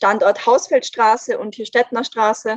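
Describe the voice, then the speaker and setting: Heard in a dry, close sound with no echo, a woman has a normal speaking voice with a fairly high pitch and fairly even intonation. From Austria, Vienna. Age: 20s. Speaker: climate activist spokesperson. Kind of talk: podcast interview.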